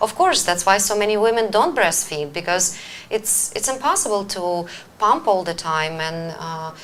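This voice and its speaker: A woman with a medium pitch and lively intonation keeps a moderate pace while noticeable noise runs in the background. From Ukraine. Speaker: wellness coach and show host. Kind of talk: live-stream talk show. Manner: hesitant, many fillers.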